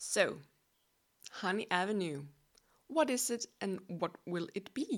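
Speaking very slowly with a Danish accent, a woman uses a medium pitch and very wide pitch swings. Her pauses are long and frequent. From Denmark. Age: 20s. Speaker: podcast host. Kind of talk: casual solo monologue.

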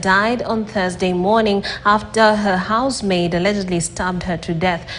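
A woman with a medium-pitched voice speaks at a moderate pace and fairly even intonation, with noticeable background noise behind her. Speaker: true crime narrator. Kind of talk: scripted true-crime narration. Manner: measured, solemn, formal storytelling delivery; steady, even-paced and grave.

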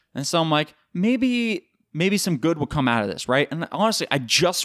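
A high-pitched male voice with very wide pitch swings, a dry, close sound with no echo, and a very clean recording with a silent background. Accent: American. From US East Coast. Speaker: podcast host. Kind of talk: casual monologue. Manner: animated.

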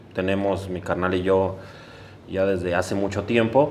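A man's voice carries audible room echo. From Mexico City, Iztapalapa. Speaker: sneaker event organizer. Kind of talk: casual interview chat.

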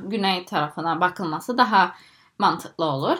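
A woman's medium-pitched voice with lively intonation at a moderate pace, on a very clean recording with a silent background. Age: 20s. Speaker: PhD student in microbiology. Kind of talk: interview. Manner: halting, many fillers.

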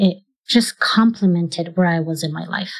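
Someone with a Polish accent speaks at a fairly slow pace in a very clean recording with a silent background. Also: woman. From Poland. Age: 40s. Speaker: Olympic marathon runner. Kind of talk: interview. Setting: office.

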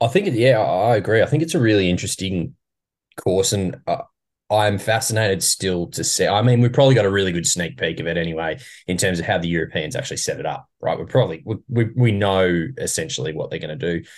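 A man with an Australian accent, fairly low in pitch, talking at a very fast pace with lively intonation over a quiet background. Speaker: golf podcast co-host. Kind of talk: casual chat.

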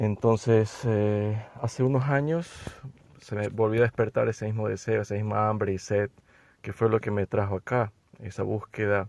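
A man talks in a plain, everyday voice at a fairly low pitch with fairly even intonation. His pace is moderate, and the sound is dry and close with no echo. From Ecuador. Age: 40s. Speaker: therapist. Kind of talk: interview.

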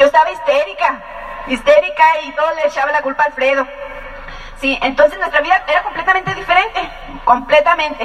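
This woman talks at a very fast pace with a high pitch and ordinary pitch variation. Long, frequent pauses break it up, and background noise is noticeable. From Mexico, Ensenada, Baja California. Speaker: business couple giving testimony. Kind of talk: testimony.

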